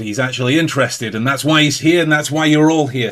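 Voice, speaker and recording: Recorded very cleanly against a silent background, a man talks with fairly even intonation. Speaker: podcast host. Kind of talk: casual chat.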